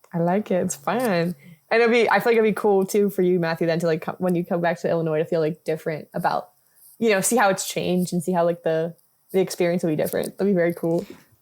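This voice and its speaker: In an American accent, the speaker talks at a very fast pace on a very clean recording with a silent background. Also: woman, fairly low pitch for a woman. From New Jersey. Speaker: film podcast co-host. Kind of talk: casual chat. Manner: animated.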